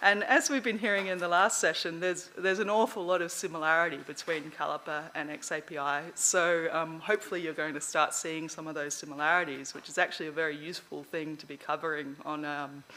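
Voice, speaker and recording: The speaker talks at a very fast pace in an Australian accent, with hardly any pauses. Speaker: conference speaker on learning analytics. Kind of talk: lecture. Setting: stage with audience.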